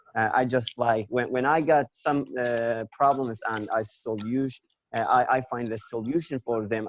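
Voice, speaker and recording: A man with a Kurdish accent at a medium pitch, fairly slow and fairly even in intonation, in a dry, close sound with no echo. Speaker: English language learner. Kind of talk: conversation practice discussion. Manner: halting, many fillers.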